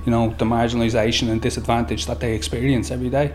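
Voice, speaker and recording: In a Dublin accent, a man speaks at a medium pitch with lively intonation, with audible room echo and noticeable background noise. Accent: Dublin Irish. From Dublin inner city (Summerhill). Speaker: youth worker. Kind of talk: recorded interview.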